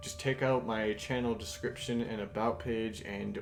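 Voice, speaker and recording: A man speaks at medium pitch while music plays in the background. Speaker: gaming YouTuber. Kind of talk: gameplay commentary. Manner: casual, hesitant with fillers.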